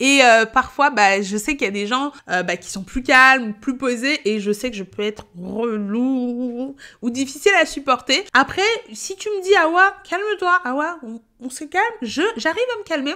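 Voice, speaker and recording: In a raised, projected voice, a woman with a high pitch for a woman and a bright, sharp tone talks at a fairly slow pace in an animated tone, with very wide pitch swings and big swings in loudness. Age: 30s. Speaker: payroll educator and content creator. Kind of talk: casual vlog monologue.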